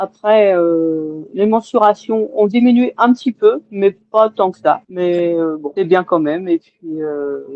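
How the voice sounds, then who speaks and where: A woman at medium pitch speaks very slowly with lively intonation. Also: hardly any pauses. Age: 60s. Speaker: weight-loss surgery patient. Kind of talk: testimony. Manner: halting, many hesitations.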